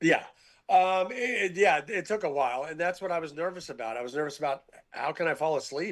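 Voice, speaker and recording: Over a quiet background, a man with a high pitch talks at a fairly quick pace with lively intonation. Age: 70s. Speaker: sports columnist and TV panelist. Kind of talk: casual chat.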